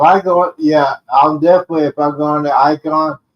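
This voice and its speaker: A man talks with fairly even intonation at a fairly high pitch. The sound is dry and close, with no echo. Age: 50s. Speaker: cruise enthusiast. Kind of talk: casual chat. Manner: halting.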